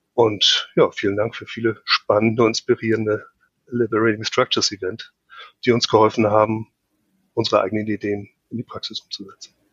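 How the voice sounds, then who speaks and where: With long, frequent pauses and big swings in loudness, a man talks at a fairly quick pace in a medium pitch and a monotone, flat intonation. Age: 50s. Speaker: project manager and process optimizer. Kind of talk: podcast interview.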